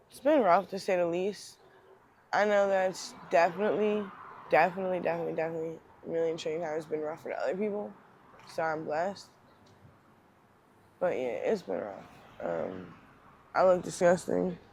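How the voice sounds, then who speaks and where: A woman in a Philadelphia accent, fairly quick in pace, with long, frequent pauses. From Northeast Philadelphia. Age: 30s. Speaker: homeless person with addiction. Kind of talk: interview. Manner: hesitant, many ums.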